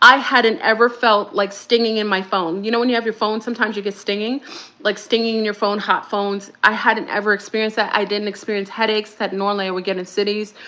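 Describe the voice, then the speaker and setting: Noticeable background noise sits under a woman with a fairly high pitch. She talks at a very fast pace with hardly any pauses and fairly even intonation. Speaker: spiritual speaker. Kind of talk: casual monologue.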